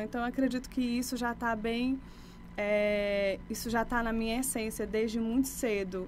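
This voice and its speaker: Fairly high-pitched woman with monotone, flat intonation. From Brazil, Maranhão (Imperatriz), born in Bahia. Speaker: life coach. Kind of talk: podcast interview.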